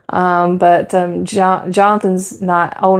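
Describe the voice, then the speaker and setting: A woman speaks with an American accent at a fairly low pitch. Her intonation is flat and monotone, with noticeable background noise. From North Carolina. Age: 40s. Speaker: homesteader and youth church volunteer. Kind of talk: casual live stream chat.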